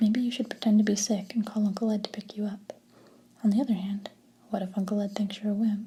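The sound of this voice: What you hear is an unforced reading voice.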